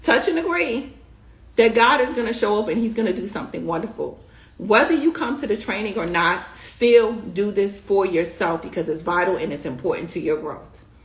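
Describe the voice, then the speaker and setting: Speaking with a New York accent, a woman sweeps through very wide pitch swings as audible room echo lingers. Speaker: beauty business coach. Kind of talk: live stream coaching talk. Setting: live stream. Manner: fast; animated.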